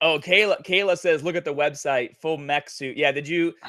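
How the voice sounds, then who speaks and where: A man with an American accent talks in a fairly high pitch with a bright, sharp tone. He sounds animated, and his pitch varies in an ordinary way. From New England, near Boston. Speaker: gaming company executive. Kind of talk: casual podcast chat.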